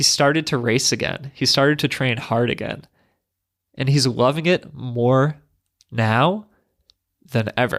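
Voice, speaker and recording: Pitched at a medium level, a man talks at a fairly slow pace with long, frequent pauses and ordinary pitch variation, in a very clean recording with a silent background. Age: 30s. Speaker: running coach and podcast host. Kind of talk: podcast intro monologue.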